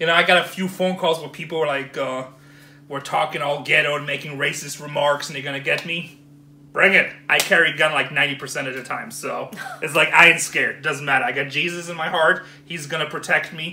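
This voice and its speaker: Fairly quick pace and fairly even intonation from a man. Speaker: storage auction buyer vlogger. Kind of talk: casual vlog chat, ranting. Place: home room. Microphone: phone near.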